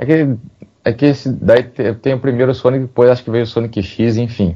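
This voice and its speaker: This man's voice has a dark, mellow tone, and he keeps to a moderate pace. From interior of São Paulo state. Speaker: podcast co-host. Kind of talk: casual chat.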